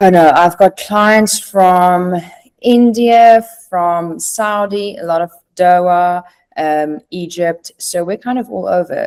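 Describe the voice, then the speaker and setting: This woman speaks in a South African accent at medium pitch. She goes very slowly, with ordinary pitch variation. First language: Afrikaans. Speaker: recruiter, former private chef. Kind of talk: podcast interview.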